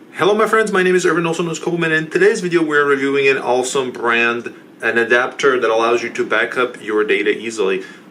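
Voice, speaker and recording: The speech races along at a very fast pace with hardly any pauses and lively intonation. Noticeable background noise sits behind it. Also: man, fairly high pitch for a man. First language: not English. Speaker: tech support youtuber. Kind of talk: product review tutorial.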